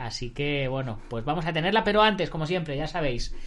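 The man has a fairly high pitch. Audible room echo surrounds his voice. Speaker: martial arts podcast host. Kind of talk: interview.

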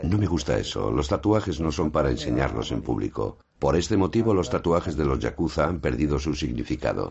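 With a very deep, low pitch, a man talks at a fairly quick pace with lively intonation, hardly any pauses and very even loudness. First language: Japanese (speaking Spanish). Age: 70s. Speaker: yakuza legal adviser and martial arts master. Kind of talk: documentary interview.

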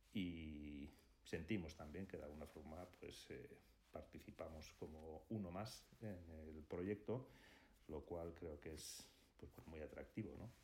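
A man speaks at a very slow pace with a very deep, low pitch and ordinary pitch variation. His tone is dark, mellow and somewhat breathy. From Basque Country, Spain (Hondarribia, Gipuzkoa). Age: 60s. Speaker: architect and firm partner. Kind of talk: interview. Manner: hesitant, many fillers.

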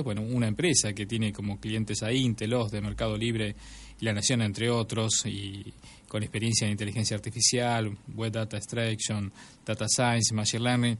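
In an Argentine accent, a man at a medium pitch speaks at a moderate pace with monotone, flat intonation. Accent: Rioplatense Argentine Spanish. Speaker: podcast host. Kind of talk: show intro and outro.

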